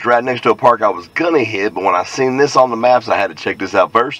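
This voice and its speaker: A man speaks with ordinary pitch variation in a dry sound with no echo. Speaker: hobby metal detecting vlogger. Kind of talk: casual vlog chat. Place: car. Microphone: phone near.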